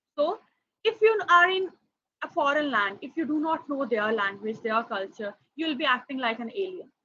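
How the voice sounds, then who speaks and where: A woman speaks in a raised, projected voice, high-pitched with very wide pitch swings, at a moderate pace and with a bright, sharp tone. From India. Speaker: foreign language trainer. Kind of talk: workshop presentation. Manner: hesitant, many fillers.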